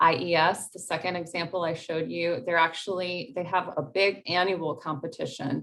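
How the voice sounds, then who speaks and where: A woman with a normal speaking voice talks at a moderate pace with hardly any pauses, her pitch fairly low, her intonation fairly even and her loudness swinging a lot. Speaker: grant writing workshop presenter. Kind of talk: workshop presentation.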